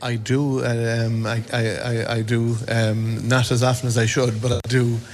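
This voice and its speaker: With audible room echo, a man speaks fairly slowly at a medium pitch in a monotone, flat delivery. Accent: west of Ireland. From County Mayo, Ireland. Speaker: parent meeting arrivals. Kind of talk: vox pop interview. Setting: airport arrivals hall.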